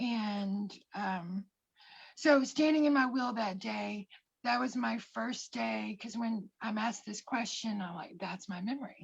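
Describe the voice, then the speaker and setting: At a fairly slow pace, a woman talks in a somewhat breathy voice of medium pitch with ordinary pitch variation. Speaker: life coach. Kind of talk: personal testimony. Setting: livestream.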